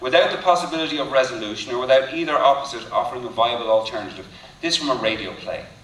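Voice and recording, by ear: This is someone reading aloud in a natural voice. The intonation is lively.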